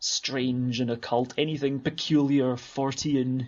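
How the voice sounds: Speaking with a Scottish accent, a man moves at a fairly slow pace with little pitch movement and vocal fry.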